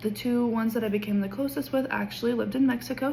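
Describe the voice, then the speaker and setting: Noticeable background noise sits behind a woman speaking with an American accent and ordinary pitch variation. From Kansas, small town west of Wichita. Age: 20s. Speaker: education student. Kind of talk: class introduction video. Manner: casual with filler ums.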